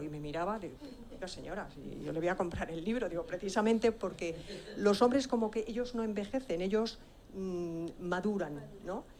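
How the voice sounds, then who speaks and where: A woman talks at a moderate pace. Her voice sits at a medium pitch, with audible room echo. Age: 60s. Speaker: author, audience member. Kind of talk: question from the floor at a conference. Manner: halting.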